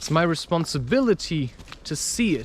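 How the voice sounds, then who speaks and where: A man speaks in a high pitch while noticeable noise carries on in the background. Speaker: spiritual podcaster and author. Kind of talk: casual spiritual talk to camera, personal monologue.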